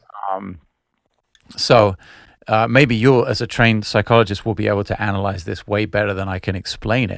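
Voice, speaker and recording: In a plain, everyday voice, a man speaks at a fairly quick pace, fairly low in pitch and with fairly even intonation. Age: 40s. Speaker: musician. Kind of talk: casual chat. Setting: video call.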